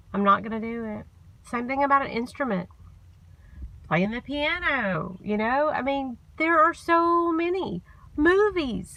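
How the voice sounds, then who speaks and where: With a bright, sharp tone, a woman talks at a fairly slow pace, her pitch swinging very widely. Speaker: vlogger. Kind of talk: motivational vlog talk.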